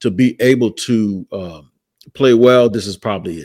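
A man's plain, everyday voice with an American accent, medium in pitch, at a moderate pace with ordinary pitch variation, on a very clean recording with a silent background and a dry, close sound with no echo. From Florida. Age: 50s. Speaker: football podcast host. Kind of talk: casual chat.

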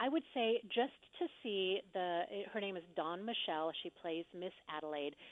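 Here a woman has an unremarkable speaking voice at a medium pitch. She moves at a moderate pace with lively intonation. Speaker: actress and theater reviewer. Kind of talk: casual interview chat.

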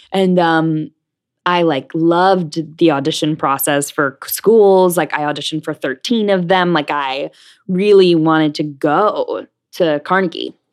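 Against a quiet background, a woman with an American accent and a plain, everyday voice speaks at a fairly slow pace in a fairly low pitch with ordinary pitch variation. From New Jersey and New York City. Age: young. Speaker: Broadway actress. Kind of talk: interview.

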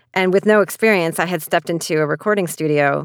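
On a very clean recording with a silent background, a woman with a plain, everyday voice speaks at a fairly low pitch with ordinary variation, the sound dry and close with no echo. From Canada. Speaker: author. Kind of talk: interview monologue.

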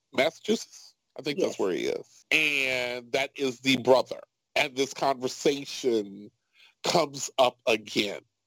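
Here is a man with an American accent and an unremarkable speaking voice, medium in pitch with ordinary variation. He talks at a fairly slow pace, and the sound is dry and close with no echo. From Chicago, South Side. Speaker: podcast host. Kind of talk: casual chat.

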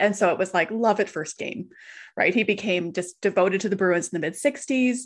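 Quiet background behind a woman speaking in a western Canadian accent. She moves at a fairly quick pace. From Canadian Prairies (Calgary area). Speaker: author. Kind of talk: casual interview chat.

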